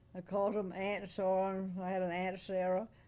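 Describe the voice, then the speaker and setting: A woman with a Florida accent and a dark, mellow tone. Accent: Southern US (Florida). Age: 90s. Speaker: interview subject, oral history elder; interview subject. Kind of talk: oral history interview, reminiscing. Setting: interview at her home, video recorded. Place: home room.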